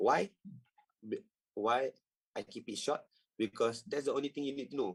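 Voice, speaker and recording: A man's fairly high-pitched voice in a Malaysian accent. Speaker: trading coach. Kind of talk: tutorial. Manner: halting.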